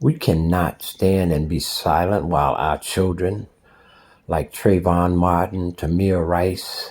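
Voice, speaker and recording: Very slowly, a man with a very deep, low voice speaks in an American accent. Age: 60s. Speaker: social commentator. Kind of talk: spoken commentary. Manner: forceful.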